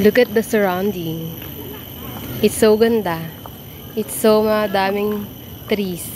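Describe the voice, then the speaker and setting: With noticeable background noise behind her, a woman speaks at a very slow pace, leaving long, frequent pauses and keeping a fairly even intonation. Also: medium pitch for a woman. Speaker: travel vlogger. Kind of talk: casual vlog narration. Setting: outdoors in a park.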